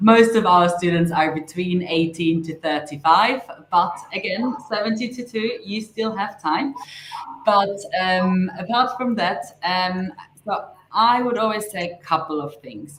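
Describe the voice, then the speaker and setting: In a German accent, a woman speaks fairly slowly in a somewhat breathy voice of medium pitch with ordinary pitch variation. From Austria. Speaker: language school director. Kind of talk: live webinar interview. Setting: live online stream.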